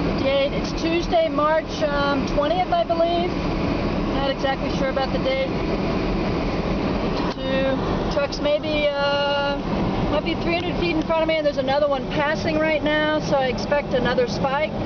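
Speech comes at a moderate pace with long, frequent pauses. Loud background noise is present, and the sound is dry with no echo. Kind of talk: casual running commentary. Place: car. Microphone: phone near.

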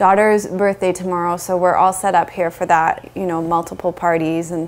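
Speaking at a moderate pace, a woman with a fairly low pitch keeps a monotone, flat intonation. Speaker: yoga teacher. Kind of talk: casual vlog chat. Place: home room. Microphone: lapel.

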